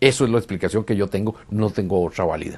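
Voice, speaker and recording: A man with fairly low pitch at a fairly quick pace against a quiet background. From Costa Rica. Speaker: UFO contactee; interviewee. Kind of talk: interview testimony. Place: home room. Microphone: lapel.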